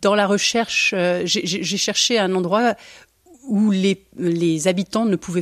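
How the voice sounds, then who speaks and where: A woman speaks at a fairly low pitch and a fairly slow pace, with ordinary pitch variation. The recording is very clean, with a silent background. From Belgium. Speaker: architect, cellist and travel writer. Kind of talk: interview. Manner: hesitant, many fillers.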